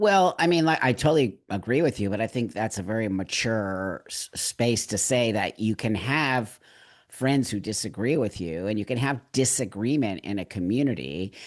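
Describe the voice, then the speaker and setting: With an ordinary speaking voice, a man speaks at medium pitch and a moderate pace. His intonation is lively, and the background is quiet. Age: 60s. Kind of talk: casual chat.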